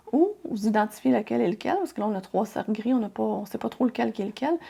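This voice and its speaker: A woman is speaking. She has a Quebec accent. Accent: Québécois French. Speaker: crafting tutorial youtuber. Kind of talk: software tutorial. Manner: casual, friendly.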